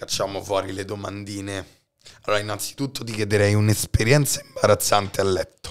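At a fairly quick pace, a man speaks in a fairly low, monotone voice with flat intonation. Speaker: podcast host. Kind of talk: casual chat.

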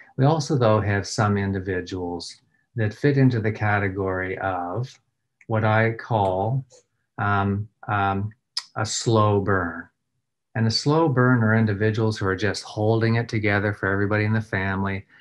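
Against a quiet background, a man with a fairly low voice talks at a moderate pace with fairly even intonation. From Nova Scotia, Canada. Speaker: trauma response and threat assessment expert. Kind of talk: recorded presentation. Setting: recorded video presentation. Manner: frequent filler words. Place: office. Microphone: webcam.

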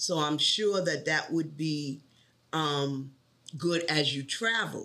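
A woman is speaking. She has a New York accent. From New York City. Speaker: bank tech support trainer. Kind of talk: interview.

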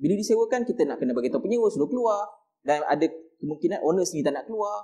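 Over a quiet background, a high-pitched man races along at a very fast pace with very wide pitch swings. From Malaysia. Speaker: real estate agent. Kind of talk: explainer talk. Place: studio.

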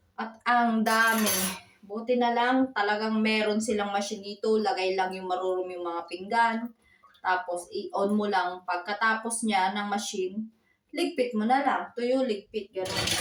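A woman talks at a fairly slow pace with a fairly high pitch. Her pitch varies in an ordinary way. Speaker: vlogger, single mother. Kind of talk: casual home vlog.

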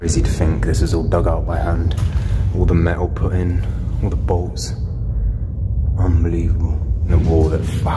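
A man at a moderate pace with ordinary pitch variation and long, frequent pauses, music playing in the background. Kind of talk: casual vlog commentary. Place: tunnel cave. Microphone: phone near.

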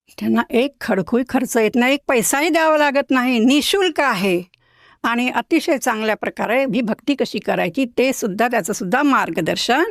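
On a very clean recording with a silent background, a woman speaks at a high pitch with lively intonation and very even loudness, the sound dry and close with no echo. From Maharashtra, Nagpur. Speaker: retired school headmistress, devotee. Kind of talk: testimony interview.

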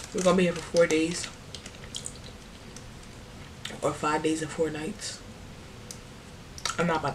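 There is noticeable background noise behind this woman. Her very deep, low pitch stays in a monotone, flat intonation. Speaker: vlogger. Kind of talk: casual vlog chat. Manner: drowsy, slurry tipsy talk. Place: home room. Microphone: phone near.

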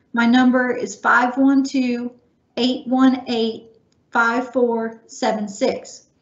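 A woman speaks in a high pitch with monotone, flat intonation. Audible room echo surrounds her voice. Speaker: webinar host. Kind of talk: scripted announcements. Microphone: video call.

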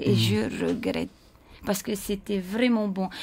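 At a moderate pace, a woman is talking. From French Polynesia, Raiatea; French Polynesia. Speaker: dance school owner; dance school teacher guest. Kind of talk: casual chat. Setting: radio studio. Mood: warm, nostalgic at times. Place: studio. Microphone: studio mic.

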